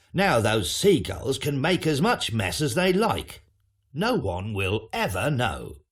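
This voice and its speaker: A man does a gruff put-on character voice at medium pitch, swinging very widely up and down at a fairly slow pace. The recording is very clean, with a silent background. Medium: read story. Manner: gruff, grouchy.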